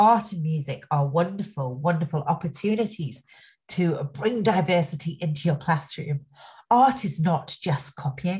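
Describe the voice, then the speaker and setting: Against a quiet background, a woman with a fairly low, somewhat breathy voice and a dark, mellow tone speaks with lively intonation. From England, Nottingham; England. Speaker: education speaker, former social worker; speaker. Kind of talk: webinar presentation. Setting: online webinar. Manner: enthusiastic. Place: home room. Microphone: webcam.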